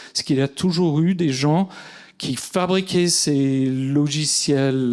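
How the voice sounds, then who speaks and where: Speaking very slowly, a man lets his pitch rise and fall in a normal way. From US, California (Silicon Valley). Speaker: artist. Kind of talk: conference talk. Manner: hesitant, many fillers.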